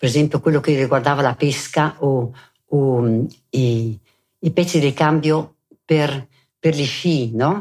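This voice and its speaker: A woman speaks at a very deep, low pitch with ordinary pitch variation and very even loudness. Her pace is very slow, broken by long, frequent pauses. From South Tyrol, Italy (Bolzano, Merano). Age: 80s+. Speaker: war-era eyewitness. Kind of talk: oral history interview. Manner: halting.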